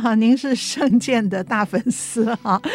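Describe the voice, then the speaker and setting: At a fairly slow pace and with ordinary pitch variation, the speaker talks over background music. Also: woman. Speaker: radio co-host and opera playwright. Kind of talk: casual radio chat.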